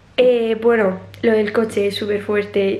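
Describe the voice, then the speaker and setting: A woman speaks with monotone, flat intonation. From Murcia, Spain. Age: 20s. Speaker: dance student. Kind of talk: casual vlog talk to camera. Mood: cheerful, relaxed.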